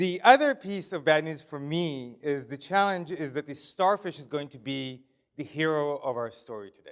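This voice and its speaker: A man with a fairly high pitch speaks at a moderate pace, his pitch varying in an ordinary way while his loudness swings widely. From Israel. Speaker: author and leadership speaker. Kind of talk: keynote presentation. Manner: casual, humorous delivery.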